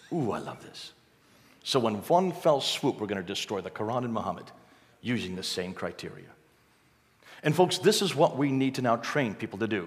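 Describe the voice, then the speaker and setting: A man at medium pitch with very wide pitch swings, big swings in loudness, and long, frequent pauses. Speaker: missionary and expert on Islam. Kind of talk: church talk with slides. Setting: church with live audience. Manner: fast talker.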